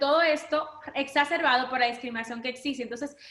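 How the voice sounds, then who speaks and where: Her voice is raised and projected. This woman's tone comes across as bright and sharp. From Dominican Republic. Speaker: human rights lawyer. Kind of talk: panel talk.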